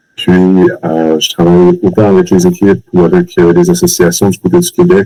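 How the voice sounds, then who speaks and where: The speaker is a man at a moderate pace. His sound is dry and close, with no echo. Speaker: customer success manager. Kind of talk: webinar presentation.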